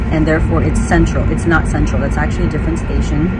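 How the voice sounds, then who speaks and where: Music sounds in the background. Over it, a woman speaks very fast. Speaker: travel vlogger. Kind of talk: casual vlog chat. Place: train. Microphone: phone near.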